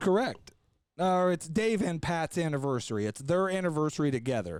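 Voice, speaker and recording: A man with an unremarkable speaking voice, fairly high-pitched, at a fairly quick pace, with lively intonation and very even loudness. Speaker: podcast host. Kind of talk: casual podcast conversation.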